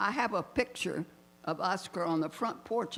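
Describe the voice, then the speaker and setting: A woman with an American accent speaks at a fairly slow pace and medium pitch. Her intonation is lively, with vocal fry. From Miami, Florida. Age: 90s. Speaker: retired civil rights activist. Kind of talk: personal testimony, partly read from notes. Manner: halting.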